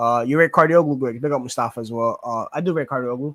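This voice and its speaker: Talking at a very fast pace with a strong New York accent, a man keeps a medium pitch and ordinary pitch variation. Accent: Queens New York accent, strong. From New York, Queens (born in Greece). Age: 20s. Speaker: sports YouTuber. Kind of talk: live Q&A chat reading comments. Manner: casual, filler-heavy.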